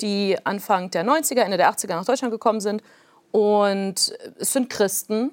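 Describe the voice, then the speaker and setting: On a very clean recording with a silent background, a woman speaks at a fairly high pitch and a fairly slow pace, with ordinary pitch variation and a dry, close sound with no echo. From Soviet Union, raised in North Rhine-Westphalia. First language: Plautdietsch (speaking German). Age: 30s. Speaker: author. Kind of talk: interview.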